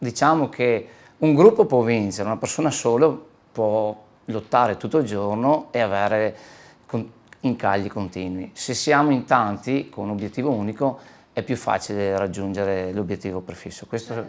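A man talks at a fairly low pitch with ordinary pitch variation. He leaves long, frequent pauses. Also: moderate pace. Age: 40s. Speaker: body shop owner. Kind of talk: interview.

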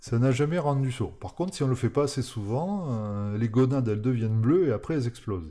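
With a dark, mellow tone and lively intonation, a man talks at a fairly quick pace with hardly any pauses against a quiet background. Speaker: programming streamer; live coding streamer. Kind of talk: live-streamed coding tutorial; casual live stream chat and programming tutorial. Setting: live stream from home. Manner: hesitant, many fillers.

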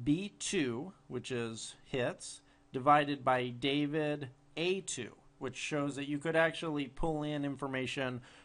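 Using a normal speaking voice, this man keeps fairly even intonation at a fairly high pitch. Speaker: software tutorial presenter. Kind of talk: tutorial. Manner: casual with frequent fillers.

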